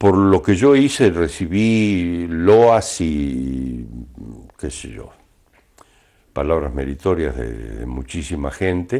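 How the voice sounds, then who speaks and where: A man speaks at a very slow pace in a very deep, low pitch, leaving long, frequent pauses. His pitch swings very widely. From Argentina. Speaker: announcer, voice-over narrator. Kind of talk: interview answer.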